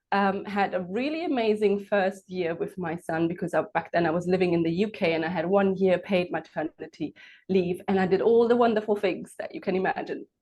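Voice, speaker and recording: Speaking with a German accent, a woman talks at a fairly quick pace with ordinary pitch variation and hardly any pauses. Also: medium pitch for a woman. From Germany. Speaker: entrepreneur and coach. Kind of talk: interview.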